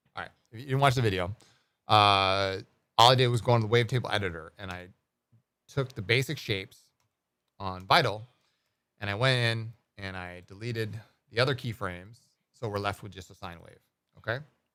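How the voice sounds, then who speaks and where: A man's fairly low, bright and sharp voice at a fairly quick pace, with big swings in loudness and long, frequent pauses, on a very clean recording with a silent background. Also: ordinary pitch variation. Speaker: ambient music producer streamer. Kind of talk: live stream tutorial. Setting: live stream. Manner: fast; casual, with many fillers.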